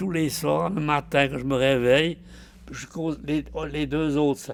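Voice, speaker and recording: Fairly slow speech from a man, with ordinary pitch variation and noticeable background noise. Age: 80s+. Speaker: artist, painter and mosaicist. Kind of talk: documentary interview answer.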